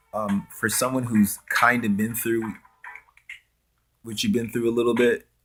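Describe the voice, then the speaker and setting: Music plays behind a man with an American accent who speaks slowly at a medium pitch, his intonation monotone and flat, with long, frequent pauses. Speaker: vlogger. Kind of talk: direct-to-camera vlog rant. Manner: halting, repetitive.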